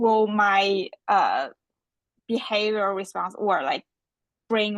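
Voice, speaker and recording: A woman with a Chinese accent, speaking at a very slow pace, in a dry, close sound with no echo. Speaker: seminar moderator. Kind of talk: Q&A discussion. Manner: halting, many fillers.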